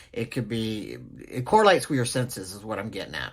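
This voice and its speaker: The voice carries a Southern US accent at a moderate pace. The recording is very clean, with a silent background. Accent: Southern twang. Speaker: nursing instructor. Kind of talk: lecture. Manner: casual, halting with fillers.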